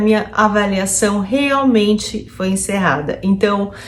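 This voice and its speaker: At a very slow pace, a woman speaks in a fairly high pitch, with audible room echo. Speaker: psychologist vlogger. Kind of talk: personal vlog.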